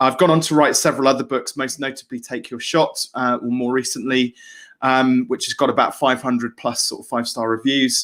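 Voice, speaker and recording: Someone with a British accent talks at a fairly quick pace. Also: man, medium pitch for a man. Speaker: business coach and author. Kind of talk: webinar presentation. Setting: live video session from home studio. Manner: fast when excited; hesitant fillers, repetitions.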